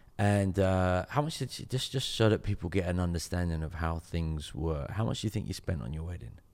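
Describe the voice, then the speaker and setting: Hardly pausing, a man with a very deep, low pitch talks at a fairly quick pace with lively intonation, in a very clean recording with a silent background. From England, Jamaican parentage. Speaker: pastor, podcast host. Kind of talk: casual interview.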